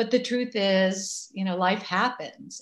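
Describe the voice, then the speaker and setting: In an American accent, a woman with an ordinary speaking voice talks at a fairly low pitch with ordinary pitch variation. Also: quiet background. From Massachusetts. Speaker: activist and writer. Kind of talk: interview.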